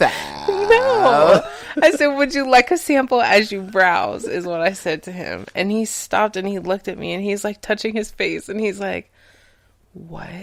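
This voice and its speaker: The speaker is a woman going at a fairly slow pace. Her loudness swings widely. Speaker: chocolate seller, podcast guest. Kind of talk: casual chat. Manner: stumbles over words.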